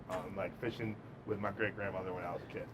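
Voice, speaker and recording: A man speaks at a fairly quick pace with noticeable background noise. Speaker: podcast host. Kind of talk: podcast interview. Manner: loud.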